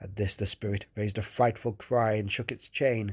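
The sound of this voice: The reading voice sounds unforced. Pitch moves only a little, staying fairly even.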